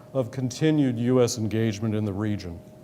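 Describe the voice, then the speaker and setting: A man with an American accent at a moderate pace, with audible room echo and noticeable background noise. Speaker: government economic official. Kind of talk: lecture. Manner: formal.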